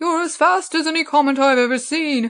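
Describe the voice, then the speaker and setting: Putting on a squeaky, high character voice, a woman talks at a fairly quick pace. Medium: read story.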